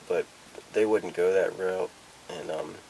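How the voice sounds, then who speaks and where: A man at a moderate pace, with light noise in the background. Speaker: vlogger. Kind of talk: casual vlog chat. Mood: nervous, reflective, hesitant. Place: home room. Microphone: camera far.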